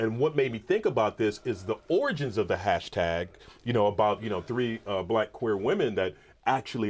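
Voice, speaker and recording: A man with an unremarkable speaking voice talks at a fairly quick pace, his pitch fairly low with ordinary variation. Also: quiet background. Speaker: professor. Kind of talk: interview conversation.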